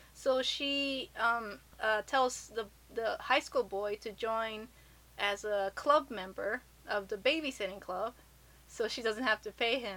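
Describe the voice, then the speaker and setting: A plain, everyday voice with an American accent moves at a fairly slow pace with ordinary pitch variation. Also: woman, fairly high pitch for a woman. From Japan and US. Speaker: podcast host. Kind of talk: casual chat.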